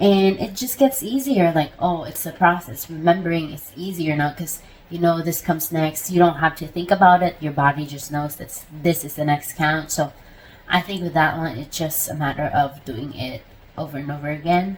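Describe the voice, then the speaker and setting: A somewhat breathy woman talks with ordinary pitch variation and big swings in loudness. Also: fairly low pitch for a woman, moderate pace. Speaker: spiritual practice vlogger. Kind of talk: casual vlog monologue. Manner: animated.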